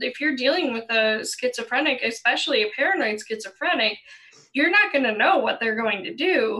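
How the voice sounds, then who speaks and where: Very wide pitch swings at a fairly quick pace. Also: woman, high pitch for a woman. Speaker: YouTuber panelist. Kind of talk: casual panel discussion.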